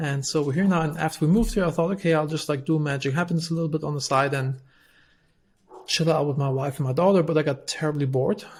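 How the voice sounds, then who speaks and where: A man's fairly high voice in a German accent, very fast and fairly even in intonation, in a very clean recording with a silent background. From Germany. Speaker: entrepreneur, company CEO. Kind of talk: podcast interview.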